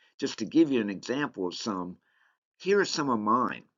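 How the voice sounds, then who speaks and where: A man speaks at a moderate pace with a Southern US accent. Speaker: leadership course instructor. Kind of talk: online course lecture. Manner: casual, conversational.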